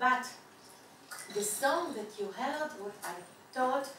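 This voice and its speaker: Speaking at a very slow pace with ordinary pitch variation, a woman with a high pitch is heard over noticeable background noise and audible room echo. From Israel. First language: Yiddish. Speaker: Holocaust education center director. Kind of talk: lecture. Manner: halting.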